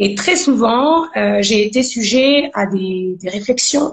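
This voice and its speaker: Her voice is somewhat breathy and fairly high. The woman's pitch varies in an ordinary way. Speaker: gospel singer. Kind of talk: interview testimony. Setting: live video stream.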